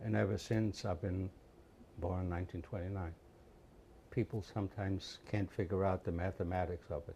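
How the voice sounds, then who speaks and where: In a very clean recording with a silent background, a man with a very deep, low pitch and a dark, mellow, somewhat breathy tone speaks at a fairly quick pace with fairly even intonation and long, frequent pauses. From Poland. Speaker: Holocaust survivor. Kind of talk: interview testimony.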